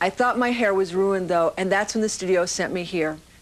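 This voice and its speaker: Her voice is a normal speaking voice, medium in pitch for a woman, with ordinary pitch variation. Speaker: actress. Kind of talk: TV infomercial host.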